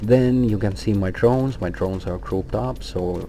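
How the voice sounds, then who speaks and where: Audible room echo surrounds a man with a non-native accent and a very deep, low pitch, speaking at a moderate pace. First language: not English. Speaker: gaming guild officer, tutorial maker. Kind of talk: tutorial. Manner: hesitant, many fillers.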